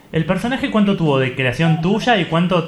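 Noticeable background noise sits behind a man speaking at a moderate pace. His intonation is lively. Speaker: radio host. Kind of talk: casual interview.

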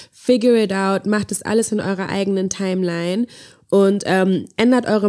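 On a very clean recording with a silent background, a woman speaks at medium pitch with a dark, mellow tone. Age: 20s. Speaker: podcast co-host. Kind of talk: casual chat. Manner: animated.

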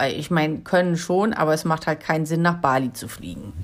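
A woman with an unremarkable speaking voice, fairly low pitch and lively intonation, on a very clean recording with a silent background. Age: 50s. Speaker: solo travel podcaster and coach. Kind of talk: solo podcast advice monologue.

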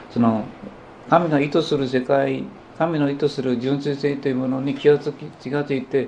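A man at a moderate pace, with audible room echo. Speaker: potter and spiritual teacher. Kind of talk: lecture. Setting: small gathering in a private home.

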